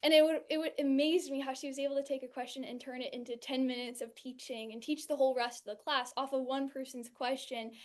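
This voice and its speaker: Talking at a very fast pace with an American accent, the speaker keeps a monotone, flat intonation while the loudness swings widely. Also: woman, high pitch for a woman. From California, US. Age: 20s. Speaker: NLP coach and trainee. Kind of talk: testimony. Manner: halting, with repeated words.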